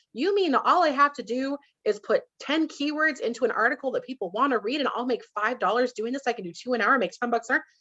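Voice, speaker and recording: Raised and projected, a woman's high, bright, sharp voice races at a very fast pace with lively intonation and hardly any pauses. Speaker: Amazon brand consultant. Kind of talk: interview.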